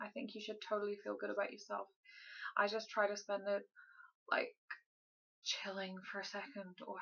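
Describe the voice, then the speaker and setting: At a moderate pace, a woman speaks softly. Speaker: vlogger. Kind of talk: casual vlog update. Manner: quiet, soft-spoken.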